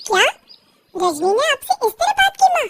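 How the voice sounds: A woman puts on a cartoonish character voice, squeaky and extremely high-pitched, with lively intonation at a moderate pace. The sound is dry and close, with no echo.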